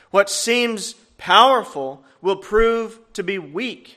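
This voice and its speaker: Raised and projected, a man's high-pitched voice with a bright, sharp tone and ordinary pitch variation moves at a very slow pace. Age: 30s. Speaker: guest preacher. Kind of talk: sermon.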